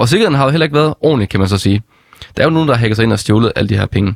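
A man's medium-pitched voice at a very fast pace, dry and close with no echo. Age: 20s. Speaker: stand-in radio host. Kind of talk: casual radio chat.

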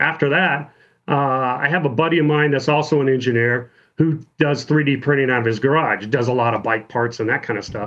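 This man has an ordinary speaking voice at medium pitch with ordinary pitch variation. He talks at a fairly quick pace. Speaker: automotive engineer and startup founder. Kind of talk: casual chat.

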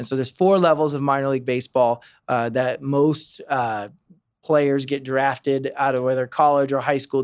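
In a very clean recording with a silent background, a man speaks at a moderate pace in an unremarkable speaking voice, fairly high for a man. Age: 30s. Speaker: baseball team fan experience director. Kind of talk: casual interview. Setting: studio.

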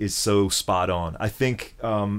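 In a very clean recording with a silent background, a man with an American accent uses an ordinary speaking voice, fairly low in pitch with ordinary pitch variation. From US South, Memphis. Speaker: guitarist. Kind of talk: casual chat. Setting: in person. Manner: thoughtful.

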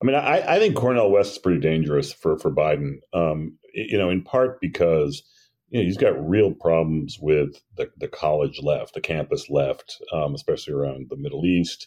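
A man with a very deep, low pitch and a dark, mellow tone speaks at a moderate pace. His intonation is lively, and he hardly pauses. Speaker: political journalist. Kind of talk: casual political discussion.

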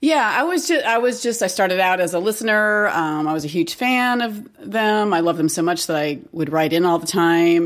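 Speaking with a plain, everyday voice, a woman with a fairly low pitch talks at a moderate pace with lively intonation and hardly any pauses. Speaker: podcast co-host. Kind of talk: casual chat.

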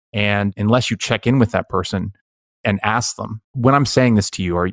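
A man speaks with an ordinary speaking voice at a moderate pace. His pitch is fairly low, and the sound is dry and close with no echo. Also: very clean recording, silent background. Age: 30s. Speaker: podcast host. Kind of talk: casual interview chat.

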